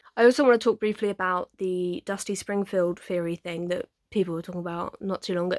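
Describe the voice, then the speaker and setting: A woman of medium pitch with an English accent, in a very clean recording with a silent background and a dry, close sound with no echo. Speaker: YouTuber. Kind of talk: casual chat. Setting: bedroom. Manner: halting.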